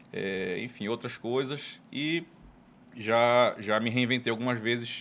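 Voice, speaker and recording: A man with a northern Brazilian accent speaks at a medium pitch and a fairly slow pace. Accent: northern Brazilian Portuguese (Pará). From Pará, Brazil (Belém). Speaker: tax lawyer and consultant. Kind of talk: casual interview.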